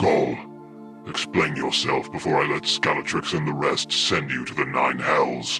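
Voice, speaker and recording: A put-on character voice from a man at a moderate pace, with clear music in the background. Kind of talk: audiobook character reading. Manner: commanding, cold.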